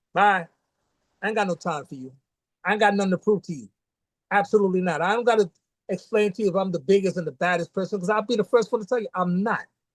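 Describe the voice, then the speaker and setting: With a New York accent, a man talks at a very fast pace and high pitch, his loudness swinging widely, with long, frequent pauses and a dry, close sound with no echo. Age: 60s. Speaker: martial arts grandmaster. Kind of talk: casual interview chat. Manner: animated.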